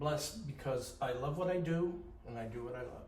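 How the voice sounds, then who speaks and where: The man's fairly high voice carries audible room echo. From Maine. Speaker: painter. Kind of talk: casual interview. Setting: art gallery.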